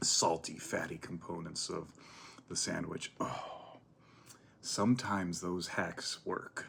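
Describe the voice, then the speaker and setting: This soft-spoken voice has a relaxed tone and moves at a very slow pace. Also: man. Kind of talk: ASMR eating and chatting to camera. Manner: soft-spoken, relaxed.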